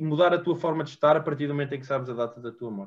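A man with ordinary pitch variation. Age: 20s. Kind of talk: interview. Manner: halting.

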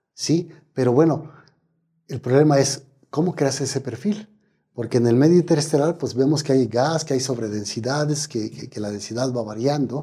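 This man's voice is medium in pitch and somewhat breathy, with a dark, mellow tone, ordinary pitch variation and a moderate pace. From Mexico, Michoacán. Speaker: astrophysicist. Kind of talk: interview. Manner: halting, with frequent fillers.

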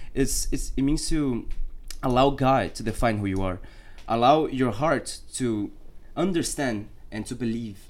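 A man talks at a fairly slow pace with long, frequent pauses. Room echo is audible. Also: medium pitch for a man, ordinary pitch variation. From Brazil, Rio de Janeiro. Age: 20s. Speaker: worship team member, student. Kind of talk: casual chat.

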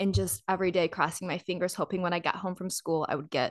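The speaker talks at a fairly quick pace with a Midwestern American accent over a quiet background. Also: woman. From Michigan, US Midwest. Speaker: actor, model and health coach. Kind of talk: casual interview chat.

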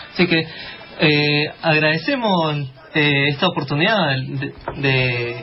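A man's fairly high-pitched voice at a very slow pace, with very even loudness and noticeable background noise. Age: 20s. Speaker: radio host. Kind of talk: casual chat.

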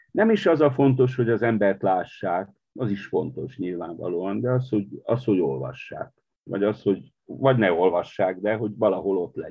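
At a fairly low pitch, a man talks with lively intonation. His pace is moderate. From Transylvania, Romania (Partium-born). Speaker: poet and literary editor. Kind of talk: interview conversation. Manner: halting, with fillers.

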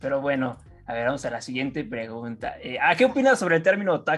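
Fairly quick speech in a Mexican accent, with music in the background. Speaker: student podcast host. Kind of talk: casual chat. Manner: halting.

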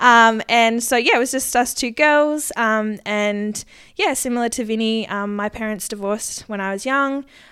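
A woman with an Australian accent speaks at a moderate pace in a bright, sharp tone. Her fairly high voice has ordinary pitch variation, on a very clean recording with a silent background. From Queensland, Australia (rural). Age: 20s. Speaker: podcast co-host, agriculture government worker. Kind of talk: casual chat.

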